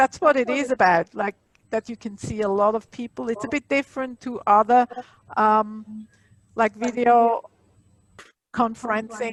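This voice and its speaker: A woman with a Swiss accent talks at a moderate pace, her pitch fairly high and her intonation fairly even. She leaves long, frequent pauses, and the sound is dry and close with no echo. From Switzerland. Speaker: library technology instructor. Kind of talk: online workshop, casual chat. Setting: video call.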